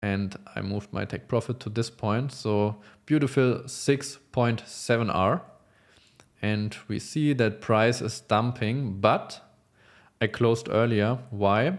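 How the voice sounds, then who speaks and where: Speaking very slowly with a non-native accent, a man uses ordinary pitch variation. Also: medium pitch for a man, very clean recording, silent background. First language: not English. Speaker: futures trader. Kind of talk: trade recap tutorial. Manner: halting, many fillers.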